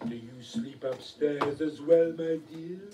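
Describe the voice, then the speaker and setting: A man does a put-on character voice, fairly high in pitch and fairly slow. There is slight echo and clear background noise. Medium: stage play. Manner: polite, suave.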